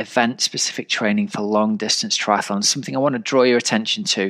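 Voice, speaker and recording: An ordinary speaking voice at a moderate pace, with lively intonation and a dry, close sound with no echo. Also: man. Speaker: triathlon coach and podcast host. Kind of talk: podcast intro and interview.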